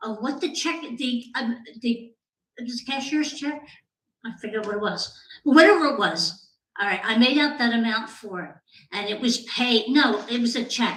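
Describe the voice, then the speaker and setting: Speaking at a moderate pace, a woman has a high voice and lively intonation. Room echo is audible. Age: 70s. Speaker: resident speaking at public comment. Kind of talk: public comment at council meeting. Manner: halting.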